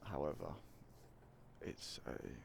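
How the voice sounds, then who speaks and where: A man speaks in a soft-spoken way. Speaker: gaming ASMR content creator. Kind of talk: casual talk to camera.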